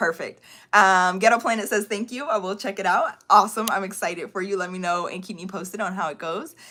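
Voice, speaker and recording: A woman talks at a very fast pace in an animated tone. Her voice is bright and sharp, with ordinary pitch variation. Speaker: online course coach. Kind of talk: live stream Q&A. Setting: livestream.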